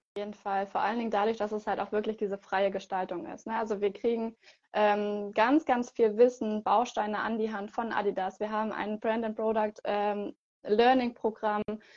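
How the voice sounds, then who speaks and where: At a moderate pace, a woman with a fairly high pitch speaks in a monotone, flat way. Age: 20s. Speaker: product trainer for a sportswear brand. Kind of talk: interview. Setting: video call.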